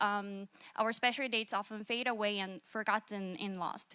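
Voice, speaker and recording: In a Korean accent, a woman speaks at a moderate pace with a bright, sharp tone, recorded very clean with a silent background and a dry, close sound with no echo. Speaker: hackathon participant, UX/UI designer. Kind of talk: pitch presentation. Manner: halting, many fillers and restarts.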